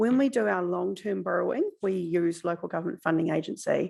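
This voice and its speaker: Heard in a very clean recording with a silent background, the speaker talks at a fairly quick pace with a New Zealand accent. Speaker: council finance officer. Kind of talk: council meeting briefing. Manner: fast.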